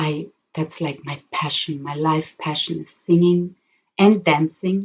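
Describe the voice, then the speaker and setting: A somewhat breathy woman speaks at a fairly slow pace in a fairly low pitch. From Germany. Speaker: spiritual healer and therapist. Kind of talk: live stream talk. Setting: live stream. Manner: halting, many fillers.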